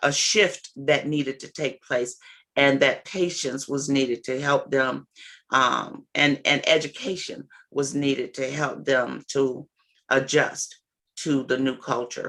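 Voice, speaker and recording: A woman speaks at a fairly slow pace with a very deep, low pitch. Her intonation stays fairly even. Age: 60s. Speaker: substance abuse counselor and trainer. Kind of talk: training lecture. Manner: halting, many fillers.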